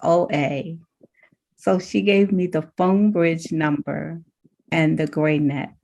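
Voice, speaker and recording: Fairly low-pitched woman against a quiet background. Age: 70s. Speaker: recovery group member sharing. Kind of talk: testimony. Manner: halting.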